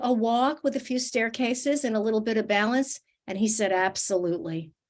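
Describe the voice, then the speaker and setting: In a very clean recording with a silent background, a woman speaks at a moderate pace with ordinary pitch variation. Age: 60s. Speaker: fitness and nutrition expert. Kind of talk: interview. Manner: animated.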